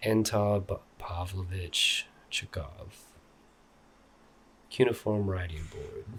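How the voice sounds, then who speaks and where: A soft-spoken man at a very slow pace, relaxed in tone, with long, frequent pauses. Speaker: art YouTuber / artist. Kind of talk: ASMR soft-spoken ramble reading an art book. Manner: soft-spoken, relaxed, casual.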